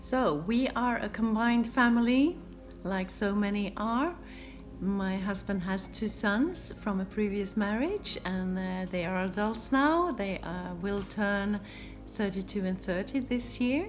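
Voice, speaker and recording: A somewhat breathy woman with a Swedish accent, ordinary pitch variation, audible room echo. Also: medium pitch for a woman, fairly slow pace. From Sweden. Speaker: DIY home renovation vlogger. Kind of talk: casual Q&A vlog.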